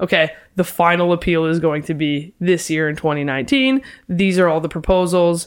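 A woman's normal speaking voice with a Canadian accent, fairly low in pitch, with ordinary pitch variation and a fairly quick pace, on a very clean recording with a silent background. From London, Ontario. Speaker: realtor and property investor. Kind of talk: casual interview.

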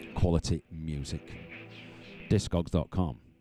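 A man's voice with music in the background. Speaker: radio DJ. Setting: radio studio. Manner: relaxed and self-deprecating, laughing off his own tongue-twisting track names.

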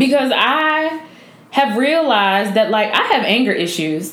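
Amid noticeable background noise and audible room echo, a woman speaks at a high pitch. Her tone is animated, with very wide pitch swings. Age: 20s. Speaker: podcast host. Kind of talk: casual chat.

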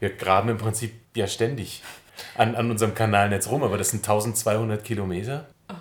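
This man talks in a mid-range pitch with a slightly breathy quality. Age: 40s. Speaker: civil engineer in city administration. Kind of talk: interview.

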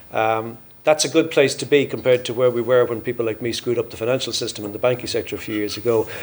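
Hardly pausing, a man of medium pitch talks at a very fast pace with fairly even intonation. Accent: Irish. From Ireland, Drogheda. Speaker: business leader. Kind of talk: conference talk.

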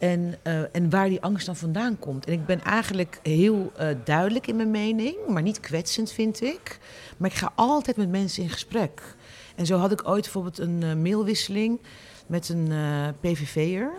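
A woman at a medium pitch, fairly slow, with ordinary pitch variation and noticeable background noise. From Netherlands, Rotterdam. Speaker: columnist and journalist. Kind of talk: interview.

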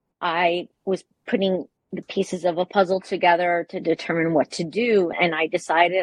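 A woman with an American accent speaks at a fairly slow pace in a fairly low pitch. Her pitch moves little, and the sound is dry and close with no echo.

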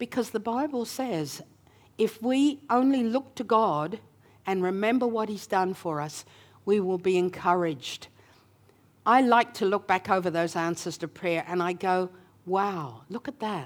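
Speaking slowly with an Australian accent, a woman uses lively intonation at a fairly slow pace. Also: medium pitch for a woman. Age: 70s. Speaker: preacher. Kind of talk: sermon. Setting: church. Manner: animated.

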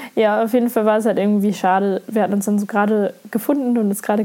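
Noticeable background noise runs under a woman's fairly high-pitched voice. She speaks at a very fast pace with fairly even intonation. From Lower Saxony, Germany. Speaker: podcaster. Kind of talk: casual monologue.

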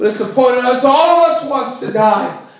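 A man's extremely high-pitched voice at a moderate pace, fairly even in intonation, with audible room echo and noticeable background noise. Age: 30s. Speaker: pastor. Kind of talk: sermon.

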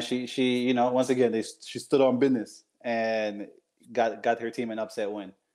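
A man with an unremarkable speaking voice talks fairly quickly at a medium pitch, keeping his intonation fairly even. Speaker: co-host. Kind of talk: casual sports podcast banter, with a showy ring-announcer style sign-off. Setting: live podcast recording.

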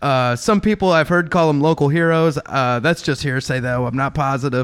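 Man with an ordinary speaking voice, fairly quick in pace, with ordinary pitch variation. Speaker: comedy podcast co-host. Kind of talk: comedic fantasy football banter.

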